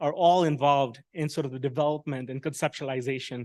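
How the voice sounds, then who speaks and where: The recording is dry and close with no echo, over a quiet background. A man speaks at a fairly high pitch. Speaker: AI health researcher. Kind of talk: conference presentation. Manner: fast.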